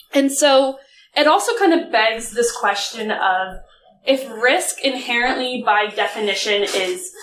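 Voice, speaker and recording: A woman speaks with an American accent and a normal speaking voice. Her pitch is fairly high and her intonation lively. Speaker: conference speaker, data analytics director. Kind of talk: conference talk. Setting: stage with audience. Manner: casual, filler-heavy.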